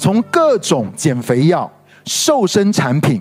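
Music plays in the background as a man talks. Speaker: pastor. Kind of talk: sermon-style podcast teaching. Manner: emphatic, repeats key points.

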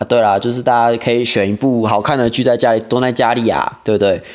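A man's medium-pitched voice with a Taiwanese accent, fairly quick pace, fairly even intonation and very even loudness. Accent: Taiwanese Mandarin. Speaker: podcast host. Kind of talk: casual solo monologue.

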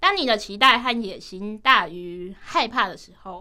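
Fairly high-pitched woman's voice, bright and sharp in tone, fairly slow, with very wide pitch swings. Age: 18. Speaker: university student with cochlear implants. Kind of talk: radio interview conversation.

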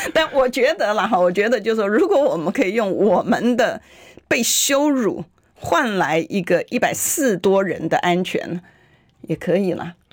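Her tone animated, a woman speaks at a fairly high pitch with very wide pitch swings. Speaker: legislator. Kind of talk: political talk radio interview. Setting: radio studio.

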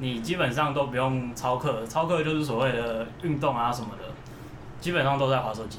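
Amid noticeable background noise and audible room echo, a man speaks at a fairly quick pace with medium pitch and ordinary pitch variation. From Taiwan. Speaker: emigrant friend sharing experiences. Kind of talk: casual chat.

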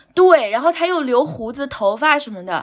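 Over noticeable background noise, a woman speaks in a high voice with very wide pitch swings. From Anhui, near Huangshan (small county town). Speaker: guest sharing life experience. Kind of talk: casual chat.

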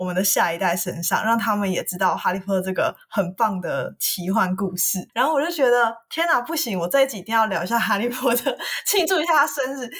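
A woman speaks fairly quickly with hardly any pauses. Her fairly high voice moves in very wide pitch swings. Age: 20s. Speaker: podcast co-host. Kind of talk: casual chat. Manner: animated.

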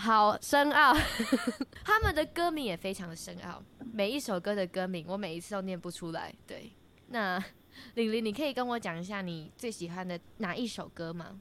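Her tone is bright and sharp, set at a medium pitch. The woman talks at a moderate pace with lively intonation. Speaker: student radio host. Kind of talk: casual chat.

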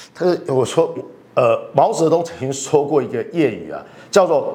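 A man speaks fairly slowly in an animated tone, with audible room echo and noticeable background noise. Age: 50s. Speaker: political commentator. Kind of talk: political analysis talk show.

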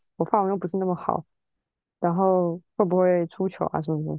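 A woman with an ordinary speaking voice talks at a fairly quick pace. Her pitch is fairly low and her intonation fairly even. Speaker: musician. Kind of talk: casual chat.

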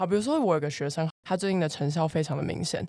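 A woman's fairly low-pitched voice with ordinary pitch variation, an ordinary speaking voice. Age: 20s. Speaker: fitness coach. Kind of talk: casual chat.

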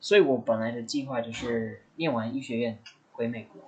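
A man talks with lively intonation. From US Midwest (Indiana). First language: English (speaking Chinese). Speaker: medical student. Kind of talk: casual chat.

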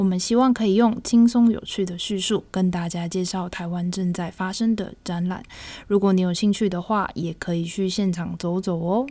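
On a very clean recording with a silent background, a woman talks at a moderate pace with a dark, mellow tone and fairly even intonation. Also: medium pitch for a woman. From Taiwan. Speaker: exhibition review podcast host. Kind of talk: casual chat.

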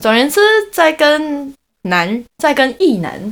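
A woman's voice with very wide pitch swings and a Taiwanese accent. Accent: Taiwanese Mandarin. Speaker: podcast co-host. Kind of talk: casual chat.

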